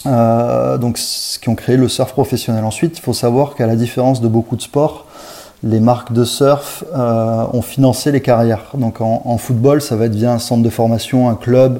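A man speaks at medium pitch and a moderate pace, his intonation fairly even. Background noise is noticeable. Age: 30s. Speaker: marketing director for a surf brand. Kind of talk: interview. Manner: halting, with frequent repetitions and fillers.

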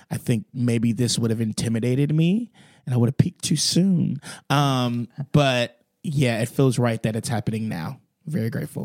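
In a very clean recording with a silent background, a man with an unremarkable speaking voice talks at a moderate pace in a medium pitch. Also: ordinary pitch variation, dry, close sound with no echo. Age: 20s. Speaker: musical theatre actor. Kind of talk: casual chat. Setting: dressing room.

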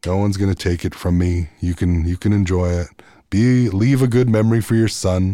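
A man with a Manitoba accent, very deep and low in pitch, dark and mellow in tone, at a fairly quick pace with ordinary pitch variation and very even loudness, on a very clean recording with a silent background. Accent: Canadian, Manitoba. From Canada, Manitoba, Peguis First Nation. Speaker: singer-songwriter. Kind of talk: casual interview. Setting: studio.

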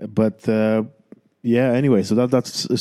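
Speaking in a Romanian accent, a man holds a moderate pace with a dark, mellow tone and monotone, flat intonation. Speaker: podcast host. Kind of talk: monologue intro. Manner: hesitant, many fillers.

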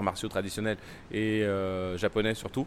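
Fairly low in pitch, this man speaks in a monotone, flat way. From Paris, France (came from Timbuktu, Mali at 10). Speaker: Muay Thai champion and gym founder. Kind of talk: interview. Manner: halting, with frequent repetitions.

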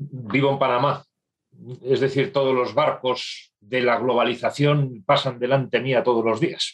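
A man speaks at a medium pitch and a fairly slow pace. He has a normal speaking voice with fairly even intonation. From northern Spain. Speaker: business executive. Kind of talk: interview.

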